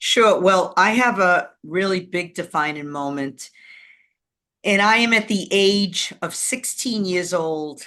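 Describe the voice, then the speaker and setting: A woman speaks at a medium pitch with ordinary pitch variation. Her tone is bright and sharp, and the background is quiet. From Boston, Massachusetts. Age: 60s. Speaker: video producer. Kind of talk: storytelling interview. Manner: animated.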